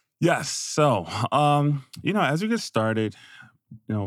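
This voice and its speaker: Recorded very cleanly against a silent background, a man speaks with ordinary pitch variation in a dry, close sound with no echo. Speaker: podcast host and school business official. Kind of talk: casual conversational interview.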